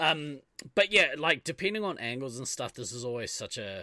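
Speaking at a moderate pace with a New Zealand accent, a man has a bright, sharp tone on a very clean recording with a silent background. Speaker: podcast host. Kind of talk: casual chat.

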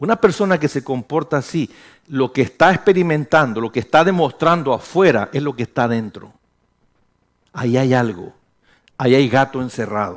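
Speaking at a moderate pace and medium pitch, a man sounds animated, with lively intonation and long, frequent pauses. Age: 50s. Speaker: pastor. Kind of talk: sermon.

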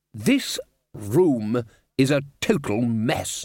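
A man's angry, put-on character voice at a medium pitch. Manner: bellowing, loud and angry.

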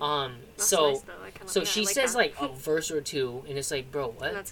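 Noticeable background noise beneath a moderate-paced delivery with lively intonation. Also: man. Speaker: podcast co-host. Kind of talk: casual chat.

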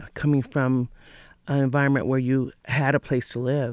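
In a very clean recording with a silent background, a man talks at a moderate pace. He has a plain, everyday voice, fairly high in pitch, with fairly even intonation. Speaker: interviewer. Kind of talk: interview.

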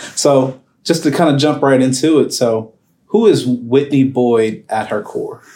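A man speaks with an American accent at a medium pitch. His tone is dark and mellow. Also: ordinary pitch variation, fairly slow pace. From Arlington, Texas. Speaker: podcast host, attorney. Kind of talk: interview.

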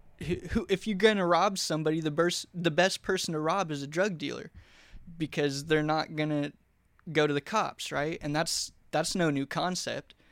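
A man speaks in a normal speaking voice with an American accent, a fairly high pitch, fairly even intonation, and a moderate pace, captured on a very clean recording with a silent background. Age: 20s. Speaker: former drug addict sharing his faith story. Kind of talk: testimony. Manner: casual, with repetitions and false starts.

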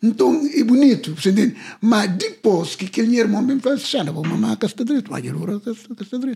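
With lively intonation, the speech runs at a fairly quick pace with hardly any pauses. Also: man, high pitch for a man. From Cape Verde, Tarrafal. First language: Cape Verdean Creole (speaking Portuguese). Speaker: singer. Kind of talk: interview.

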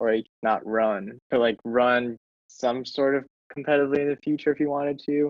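A man with an American accent talks at a fairly quick pace with fairly even intonation in an ordinary speaking voice. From Minnesota, Twin Cities suburbs. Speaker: athlete and videographer. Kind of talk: casual interview chat.

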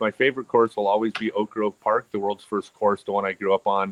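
A man with an ordinary speaking voice talks fairly quickly at a fairly low pitch. The sound is dry and close, with no echo. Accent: American. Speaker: professional disc golfer. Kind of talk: casual chat.

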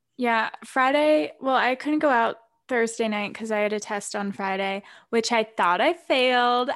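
On a very clean recording with a silent background, a woman talks at a fairly slow pace in a normal speaking voice, with ordinary pitch variation. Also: fairly high pitch for a woman. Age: 20s. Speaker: podcast co-host, college student. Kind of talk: casual chat.

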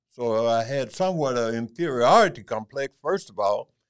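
The man's pitch moves through very wide swings. His pace is moderate. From US South, rural Mississippi. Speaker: retired military veteran, host's father. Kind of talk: interview, life story.

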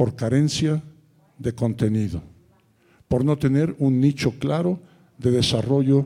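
Dark and mellow in tone, a man speaks at a medium pitch. He goes at a fairly slow pace with ordinary pitch variation. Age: 70s. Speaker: college founder and author. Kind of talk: conference panel talk.

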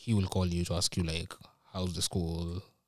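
With a Kenyan accent, a man is heard in a dry, close sound with no echo on a very clean recording with a silent background. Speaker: university student. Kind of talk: casual chat. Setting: studio.

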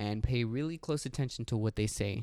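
With an American accent, a man speaks in a passionate tone at a medium pitch. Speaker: podcast co-host. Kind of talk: casual banter podcast, with an angry rant near 27:15.

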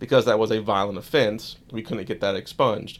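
With an American accent and a plain, everyday voice, a man of medium pitch talks at a fairly quick pace in a very clean recording with a silent background. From Florida, near Daytona Beach. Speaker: attorney. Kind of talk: legal explainer interview.

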